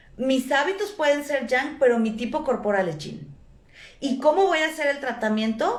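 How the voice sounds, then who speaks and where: A woman speaks loudly at a moderate pace, her high voice carrying lively intonation amid audible room echo. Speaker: traditional Chinese medicine teacher. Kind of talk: lecture.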